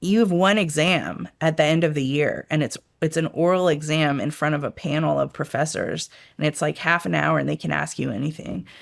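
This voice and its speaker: Talking at a fairly quick pace, a woman speaks with an American accent. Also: very clean recording, silent background. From Washington DC area, early years in Rome. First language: Italian. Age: 50s. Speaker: intelligence expert. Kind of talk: interview. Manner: casual, many fillers.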